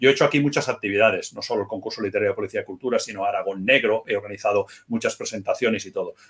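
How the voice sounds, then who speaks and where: Hardly any pauses break up the speech. Everything is delivered very fast. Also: man. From Spain, Barcelona area (Murcian parents). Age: 50s. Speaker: crime novelist and former police officer. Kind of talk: interview.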